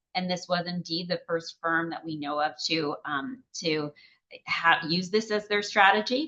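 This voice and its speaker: A woman has an unremarkable speaking voice. She talks at a fairly slow pace with fairly low pitch and ordinary pitch variation. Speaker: economist, grand rounds speaker. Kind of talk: lecture.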